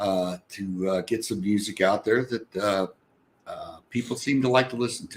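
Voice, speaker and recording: A man with an ordinary speaking voice, fairly low in pitch, with fairly even intonation and a moderate pace. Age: 60s. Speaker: singer-songwriter, retired corporate worker. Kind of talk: casual interview chat.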